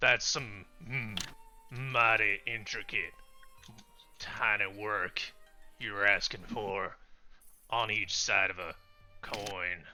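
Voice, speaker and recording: Using a put-on character voice, a man speaks very slowly with long, frequent pauses and fairly even intonation while music plays in the background. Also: fairly low pitch for a man. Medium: actual play. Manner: blunt, folksy, drops grammar.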